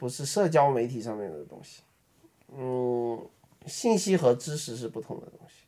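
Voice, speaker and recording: A man speaks with a Beijing accent. His tone is dark and mellow, and his pitch varies in an ordinary way. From Beijing, China. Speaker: app designer and podcast co-host. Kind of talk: casual chat.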